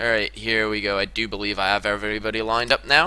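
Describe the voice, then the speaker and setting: A man talks fairly quickly while music plays behind him. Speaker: game shoutcaster. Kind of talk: esports shoutcast commentary. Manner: fast, energetic.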